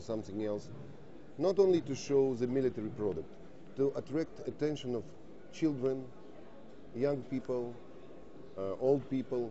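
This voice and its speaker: A man with a Russian accent talks at a moderate pace in a medium pitch with ordinary pitch variation. Long, frequent pauses break up his speech, and room echo is audible. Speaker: defence industry representative. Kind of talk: TV interview. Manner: halting.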